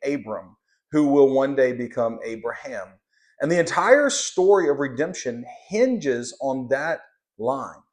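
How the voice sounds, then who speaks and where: A man's fairly high voice at a fairly slow pace, with a slight Southern US accent and lively intonation against a quiet background. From Louisiana, US South. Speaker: Bible teacher. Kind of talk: Bible lesson. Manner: halting, many fillers.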